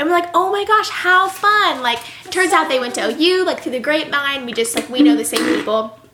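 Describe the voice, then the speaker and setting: Over noticeable background noise, a woman uses a raised, projected voice with an animated tone, a high pitch, very wide pitch swings and a fairly quick pace. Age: 20s. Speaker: podcast co-host. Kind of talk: casual chat. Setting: sitting on a bed with roommate present. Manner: fast.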